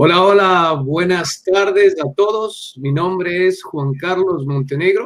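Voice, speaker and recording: A man talks at a very slow pace in a high pitch, with ordinary pitch variation. He barely pauses at all. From Ecuador, Quito. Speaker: missionary. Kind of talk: podcast interview. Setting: video call.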